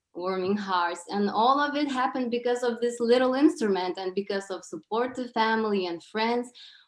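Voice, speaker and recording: A woman with a Lithuanian accent speaks at a moderate pace in a fairly high voice, her pitch varying in an ordinary way. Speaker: presenter at an event. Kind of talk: presentation. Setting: online video call.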